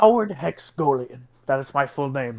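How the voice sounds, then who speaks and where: A man's put-on character voice, fairly high and smug in tone, with very wide pitch swings, at a moderate pace. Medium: actual play. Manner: formal, smug.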